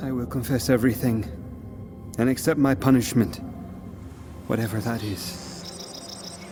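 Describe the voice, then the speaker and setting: Over music in the background, a man at a medium pitch talks at a fairly slow pace with ordinary pitch variation and long, frequent pauses. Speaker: narrator. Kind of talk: audio drama narration.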